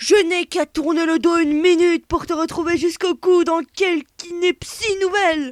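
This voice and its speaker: Putting on a growling character voice, a woman speaks in a menacing tone at a moderate pace, the sound dry and close with no echo. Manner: menacing, reproachful.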